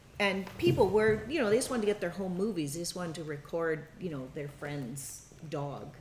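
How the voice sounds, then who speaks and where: A woman's fairly low voice at a fairly quick pace, with lively intonation, big swings in loudness, noticeable background noise and audible room echo. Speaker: documentary filmmaking workshop instructor. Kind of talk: workshop teaching. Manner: halting, many fillers.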